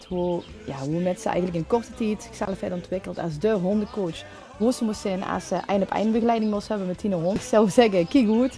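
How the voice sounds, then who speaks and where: A woman at a medium pitch and a fairly quick pace, with ordinary pitch variation and music in the background. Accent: Limburg. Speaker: interviewer. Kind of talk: interview question.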